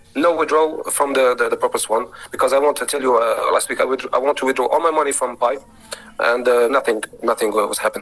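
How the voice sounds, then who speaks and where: Music plays in the background as a man with a non-native accent speaks at a fairly quick pace. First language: not English. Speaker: member asking questions. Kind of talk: online Q&A session. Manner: halting.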